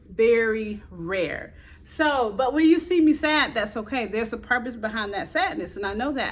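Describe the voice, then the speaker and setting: Her tone animated and her intonation lively, a woman speaks at a moderate pace with a fairly high pitch. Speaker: motivational video creator. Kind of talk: motivational talk to camera. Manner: loud.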